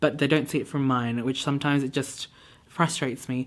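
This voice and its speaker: Speech moves at a fairly quick pace with ordinary pitch variation on a very clean recording with a silent background. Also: woman. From Hong Kong (Filipino family). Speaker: beauty and lifestyle vlogger. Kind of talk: casual monologue vlog. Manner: hesitant, many filler ums.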